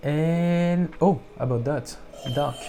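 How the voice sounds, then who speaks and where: With a non-native accent and ordinary pitch variation, the speaker talks over music in the background. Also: man. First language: not English. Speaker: music producer youtuber. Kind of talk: tutorial. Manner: halting.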